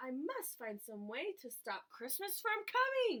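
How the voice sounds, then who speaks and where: A woman uses a put-on character voice with growling, pitched extremely high. She speaks fairly slowly with very wide pitch swings. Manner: growling, scheming.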